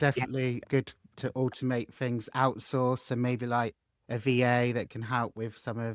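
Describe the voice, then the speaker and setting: Monotone and flat, a man's medium-pitched voice moves at a moderate pace in a dry, close sound with no echo. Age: 40s. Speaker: podcast host. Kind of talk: casual interview chat.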